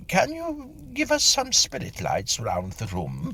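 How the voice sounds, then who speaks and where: This man puts on a character voice. He speaks at a fairly slow pace. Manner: sleepy, drowsy.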